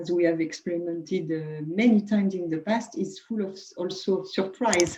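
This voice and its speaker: A woman's medium-pitched voice runs at a fairly quick pace with hardly any pauses and fairly even intonation. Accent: French. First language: French. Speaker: HR director. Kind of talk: webinar panel discussion. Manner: halting.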